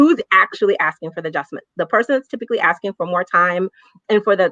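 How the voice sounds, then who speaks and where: A woman speaks at a medium pitch in an American accent. Her tone is bright and sharp, and the sound is dry and close with no echo. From US South. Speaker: racial justice activist, panelist. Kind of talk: online panel discussion. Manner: impassioned, frequent repetitions.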